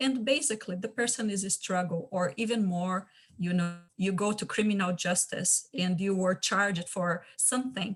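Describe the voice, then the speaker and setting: A woman with a Portuguese accent speaks at a moderate pace in a somewhat breathy voice, with ordinary pitch variation, on a very clean recording with a silent background. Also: medium pitch for a woman. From Brazil. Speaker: community champion. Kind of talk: panel discussion. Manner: halting.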